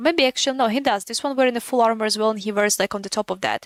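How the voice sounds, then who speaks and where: The accent of this woman is non-native. Her audio is close and dry, without echo. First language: not English. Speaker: gaming streamer. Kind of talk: casual live-stream commentary. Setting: live stream. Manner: halting, repetitive.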